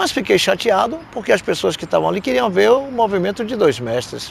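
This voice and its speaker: Noticeable background noise runs under this recording. A man speaks over it at a fairly quick pace. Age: 70s. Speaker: capoeira master. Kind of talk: interview storytelling. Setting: event in Madrid.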